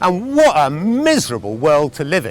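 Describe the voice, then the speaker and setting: A man with an English accent and very wide pitch swings, over noticeable background noise. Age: 60s. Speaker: farmer. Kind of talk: advocacy talk to camera.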